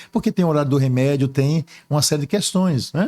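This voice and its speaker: A man's somewhat breathy voice with a dark, mellow tone and ordinary pitch variation, in a very clean recording with a silent background. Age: 60s. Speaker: archbishop. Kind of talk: interview. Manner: hesitant fillers.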